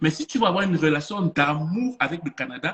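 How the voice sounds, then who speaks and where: A man speaks in an animated tone at a high pitch. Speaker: motivational speaker. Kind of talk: online conference talk.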